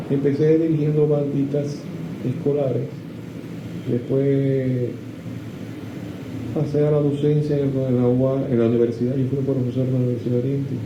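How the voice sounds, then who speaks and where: Amid noticeable background noise and audible room echo, a man with a fairly high pitch speaks at a moderate pace. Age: 70s. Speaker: composer and music teacher. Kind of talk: interview. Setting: at home. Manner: halting. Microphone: poor audio.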